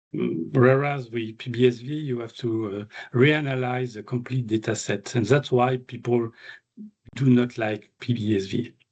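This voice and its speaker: In a French accent, a man speaks at a medium pitch with fairly even intonation. His pace is fairly slow. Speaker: animal geneticist, invited speaker. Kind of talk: Q&A discussion after a seminar talk. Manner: halting with many fillers.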